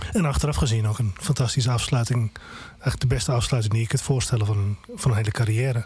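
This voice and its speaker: Very fast and very even in loudness, a man talks at a medium pitch with ordinary pitch variation. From Groningen, Netherlands. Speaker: music blogger and reporter. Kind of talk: casual chat. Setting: studio.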